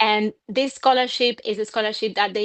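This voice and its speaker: With a Spanish accent, a woman talks at a fairly high pitch. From Argentina. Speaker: communication coach. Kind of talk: podcast interview.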